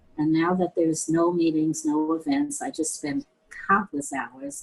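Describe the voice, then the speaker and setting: A woman's fairly low voice with very wide pitch swings and an American accent, over noticeable background noise. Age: 80s+. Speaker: interviewee. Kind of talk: interview.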